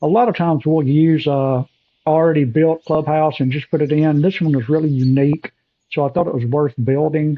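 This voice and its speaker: This man has a fairly high pitch. His intonation stays fairly even. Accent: Southern US. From US South. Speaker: golf course designer. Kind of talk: screen-recorded walkthrough tutorial. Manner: casual, hesitant with fillers.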